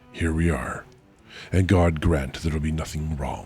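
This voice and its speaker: Doing a put-on character voice, a man speaks hoarsely at a moderate pace in a very deep, low pitch, with faint music in the background. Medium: virtual streamer.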